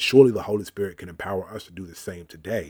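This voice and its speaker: Here is a man with an American accent and a fairly low pitch. He speaks very fast with ordinary pitch variation. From Richmond, Virginia, US South. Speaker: pastor. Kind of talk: casual chat.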